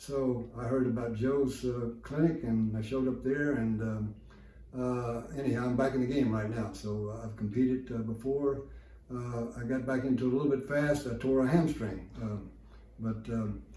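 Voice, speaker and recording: Noticeable background noise and audible room echo surround a man's voice. He keeps a medium pitch, a moderate pace and a fairly even intonation. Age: 70s. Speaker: patient testimonial, equestrian athlete. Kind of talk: testimony. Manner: halting.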